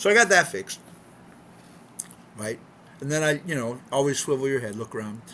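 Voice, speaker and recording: Pitched fairly high, a man talks at a very fast pace with lively intonation. Noticeable background noise runs underneath. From California, US. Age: 60s. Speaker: expat vlogger. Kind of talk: casual vlog monologue. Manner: unscripted, repetitive with many fillers.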